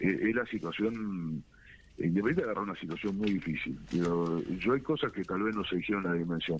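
At a fairly quick pace, a man talks in an unremarkable speaking voice. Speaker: football club official. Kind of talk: interview.

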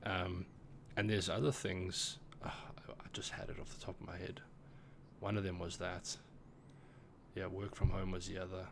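Whispering at a moderate pace, with long, frequent pauses and audible room echo. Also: man. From South Africa. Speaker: podcast co-host, tech worker. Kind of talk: casual chat.

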